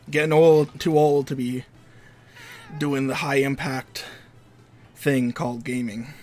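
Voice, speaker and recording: With a Canadian accent, a man talks at a fairly high pitch with fairly even intonation and long, frequent pauses while music plays behind him. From Canada. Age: 20s. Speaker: video game streamer. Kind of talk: casual live-stream commentary while gaming. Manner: casual, rambling with many fillers.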